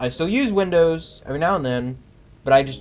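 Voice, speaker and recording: The pitch of this man's speech varies normally, and his pace is moderate. He has a plain, everyday voice. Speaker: gaming streamer. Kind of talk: live gameplay commentary. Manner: casual, filler-heavy.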